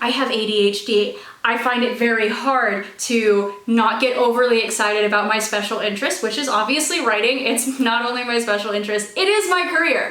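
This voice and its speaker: A woman's energetic, high-pitched voice at a fairly quick pace with ordinary pitch variation, audible room echo and noticeable background noise. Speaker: author and video creator. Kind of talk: casual vlog talk to camera. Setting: home office. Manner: fast.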